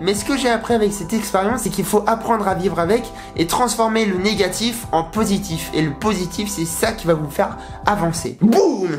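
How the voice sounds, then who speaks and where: Clear music sits behind a man who speaks at a moderate pace and a high pitch, with ordinary pitch variation. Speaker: YouTuber. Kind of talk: casual talk to camera. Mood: motivational, upbeat. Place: home room.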